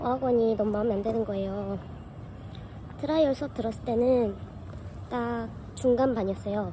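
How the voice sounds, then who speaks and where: Long, frequent pauses from a woman talking at a moderate pace. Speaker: vlogger. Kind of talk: casual vlog talk.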